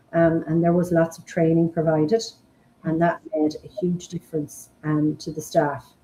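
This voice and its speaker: A woman with an Irish accent, fairly low in pitch, in a monotone, flat intonation at a moderate pace, with big swings in loudness and noticeable background noise. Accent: Irish (Mayo). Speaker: forest school founder and principal. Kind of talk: interview.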